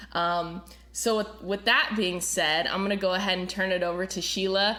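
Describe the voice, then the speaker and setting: Audible room echo surrounds a woman speaking at medium pitch. Her pace is moderate and her intonation fairly even. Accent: American. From Florida. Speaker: podcast host and worship pastor. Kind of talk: casual chat. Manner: many filler words.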